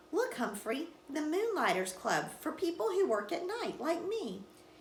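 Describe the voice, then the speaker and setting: A woman's put-on character voice, extremely high-pitched, with very wide pitch swings, a moderate pace and clear background noise. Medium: read story.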